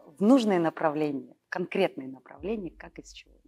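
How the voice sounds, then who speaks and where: Over music in the background, a woman speaks at a medium pitch with very wide pitch swings. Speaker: actress. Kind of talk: interview answer.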